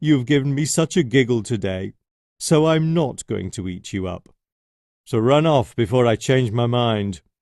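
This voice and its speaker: A man's put-on character voice, growling at medium pitch, moderate in pace, over a quiet background. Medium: read story.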